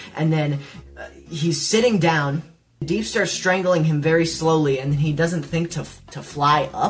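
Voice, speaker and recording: A woman speaks at a moderate pace with very deep, low pitch and ordinary pitch variation. Her loudness swings widely, and the room echo is audible. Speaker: YouTube commentator. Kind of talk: casual commentary. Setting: home recording. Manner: animated.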